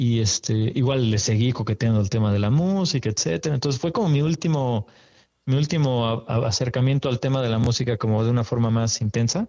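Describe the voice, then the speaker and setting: In a plain, everyday voice, a man speaks fairly quickly at a medium pitch, with ordinary pitch variation and very even loudness. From Mexico City. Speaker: photographer. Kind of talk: interview.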